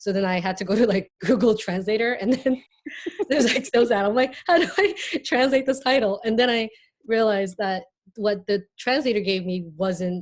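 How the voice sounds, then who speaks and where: Fairly quick in pace, a woman with a Korean accent speaks with ordinary pitch variation. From Hong Kong, born in South Korea. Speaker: artist. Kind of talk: casual chat. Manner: halting, many fillers.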